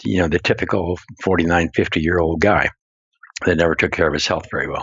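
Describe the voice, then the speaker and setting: At a moderate pace, a man talks in a very deep, low voice with monotone, flat intonation. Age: 70s. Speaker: company founder and health advocate. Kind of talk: interview storytelling. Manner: halting, many fillers.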